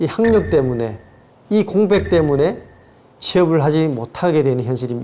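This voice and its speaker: A man talks fairly slowly with a slight North Korean accent and very wide pitch swings. Room echo is audible. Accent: slight North Korean intonation. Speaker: lecturer, author. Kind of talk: lecture. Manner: measured, formal.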